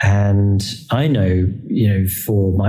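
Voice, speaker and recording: A man with a fairly low pitch and a dark, mellow tone sounds somewhat breathy, with audible room echo. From England. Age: 30s. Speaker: electric car executive. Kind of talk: interview. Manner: hesitant fillers.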